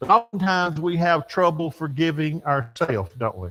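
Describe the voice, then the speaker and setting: Speaking in an American accent, a man talks at a moderate pace in a fairly high pitch. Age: 60s. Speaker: church teacher. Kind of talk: sermon. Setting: church. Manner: folksy, conversational.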